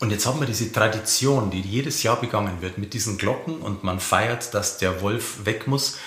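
Over noticeable background noise and audible room echo, a man talks at a fairly low pitch and moderate pace with ordinary pitch variation. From Lower Bavaria (Simbach am Inn). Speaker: podcast host, culture editor. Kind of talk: interview.

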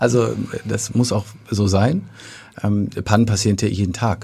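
A man's fairly low, somewhat breathy voice with a dark, mellow tone and fairly even intonation. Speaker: theatre manager. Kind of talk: casual interview. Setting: studio. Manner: hesitant with filler sounds.

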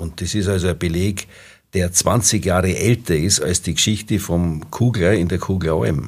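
A man's very deep, low voice, somewhat breathy, at a moderate pace with ordinary pitch variation, on a very clean recording with a silent background. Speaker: dialect expert and professor. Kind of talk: casual expert chat.

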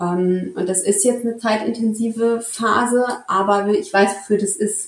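With fairly even intonation, a woman talks in a medium pitch. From Central Hesse, Germany (Marburg). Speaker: intensive care nurse. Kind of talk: interview conversation. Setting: in person with co-host, hybrid recording.

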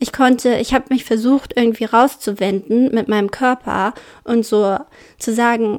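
In a Braunschweig accent, a woman talks at a moderate pace with fairly even intonation. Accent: Braunschweig dialect, vowels shift to umlauts. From Germany, Braunschweig. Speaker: podcast co-host. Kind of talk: casual chat.

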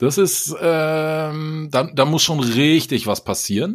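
A man's voice with vocal fry, in a very clean recording against a silent background. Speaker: podcast co-host. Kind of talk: casual chat. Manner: energetic.

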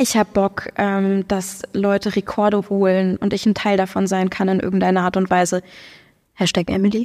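A woman speaks at a medium pitch and moderate pace, with long, frequent pauses, monotone, flat intonation and very even loudness. The sound is dry and close with no echo, on a very clean recording with a silent background. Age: 30s. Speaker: powerlifter and sports club co-founder. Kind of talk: casual interview. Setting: studio.

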